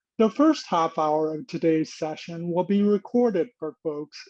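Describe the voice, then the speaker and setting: This man has a high-pitched voice. His pace is fairly slow. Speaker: nonprofit leader hosting a webinar. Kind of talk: webinar introduction. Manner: halting, effortful speech after a stroke.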